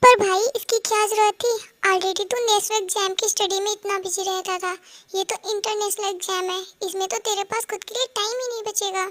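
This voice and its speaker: A woman does a put-on character voice at extremely high pitch and a very fast pace. The sound is dry and close, with no echo. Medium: fan dub. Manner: casual, brotherly.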